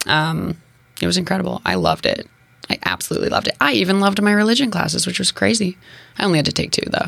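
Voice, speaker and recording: Very fast delivery at a very even loudness. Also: woman. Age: 20s. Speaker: digital entrepreneur and video creator. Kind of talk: casual interview. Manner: fast talker; animated.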